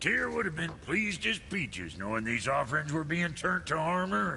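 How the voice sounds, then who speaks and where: Put-on character voice from a man at a moderate pace, with clear background noise. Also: fairly high pitch for a man. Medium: video game. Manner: gruff, folksy.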